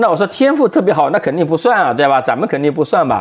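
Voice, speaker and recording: This man's pitch swings very widely, with vocal fry throughout. He talks at a very fast pace. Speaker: venture capital investor and former journalist. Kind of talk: casual interview.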